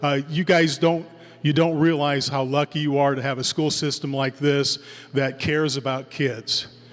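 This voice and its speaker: This man's voice is fairly high in pitch, with monotone, flat intonation. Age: 60s. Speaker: middle school band director. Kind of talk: farewell speech at concert. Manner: conversational, halting with fillers.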